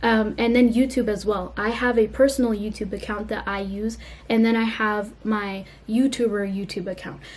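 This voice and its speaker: With monotone, flat intonation, a woman speaks in a somewhat breathy voice. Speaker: YouTuber. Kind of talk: casual vlog talk to camera. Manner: fast; casual, filler-heavy.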